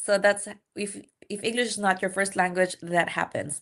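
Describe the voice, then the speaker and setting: In a non-native accent, a woman talks at a fairly slow pace with a bright, sharp tone. The background is quiet. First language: not English. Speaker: nurse practitioner and exam-prep instructor. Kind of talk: live-stream lecture. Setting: live stream. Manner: conversational, with frequent fillers.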